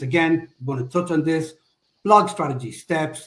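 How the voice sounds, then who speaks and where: Pitched fairly high, a man with an Irish accent talks at a moderate pace with ordinary pitch variation. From Ireland. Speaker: SEO agency executive. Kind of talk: webinar presentation. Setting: live online webinar.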